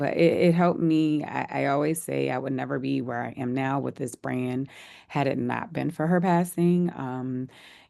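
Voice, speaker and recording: The speech comes at a fairly slow pace. It carries a New Orleans accent. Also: woman. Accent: New Orleans Southern US. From US South, New Orleans. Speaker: wine company founder. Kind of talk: interview. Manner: halting.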